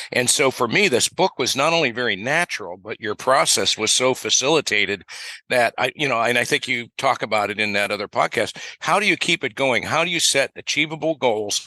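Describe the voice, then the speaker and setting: A man's medium-pitched voice has a bright, sharp tone and lively intonation at a fairly quick pace, with a dry, close sound and no echo. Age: 70s. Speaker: financial advisor and author. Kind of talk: casual chat. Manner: animated.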